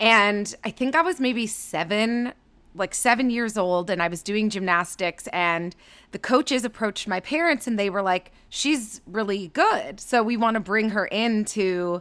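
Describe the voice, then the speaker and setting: In a Canadian accent, a woman with an unremarkable speaking voice and fairly high pitch talks at a fairly slow pace with ordinary pitch variation, on a very clean recording with a silent background. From Canada, Toronto suburbs. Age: 30s. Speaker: digital marketing and creator partnerships executive. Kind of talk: casual interview.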